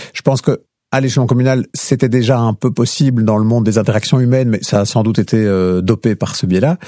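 A man's dark, mellow voice moves at a very fast pace with medium pitch and fairly even intonation, in a dry, close sound with no echo. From Belgium, Liège province (Lierneux). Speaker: radio journalist. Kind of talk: interview conversation. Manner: clear, didactic.

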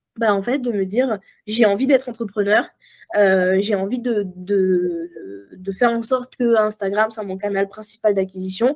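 Fairly slow speech in a very clean recording with a silent background. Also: woman, medium pitch for a woman. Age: 20s. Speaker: copywriting mentor and entrepreneur. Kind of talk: casual interview chat. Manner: animated, frequent laughter.

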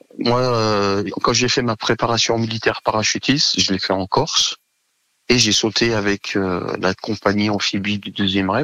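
Fairly slow and fairly even in intonation, a man speaks. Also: fairly low pitch for a man. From Savoie, France. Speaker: former military nurse. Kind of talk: casual interview. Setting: phone call. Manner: hesitant, many fillers.

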